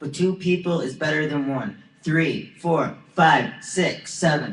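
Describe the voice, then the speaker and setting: A man speaks fairly slowly in a high voice with ordinary pitch variation. Noticeable background noise and audible room echo fill the recording. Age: 20s. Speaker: vlogger. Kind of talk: video monologue. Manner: halting.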